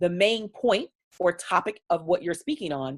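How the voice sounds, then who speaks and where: Animated in tone, a woman with an American accent speaks with lively intonation. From Baltimore, Maryland, US. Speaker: business coach and speaker. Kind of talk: online training talk.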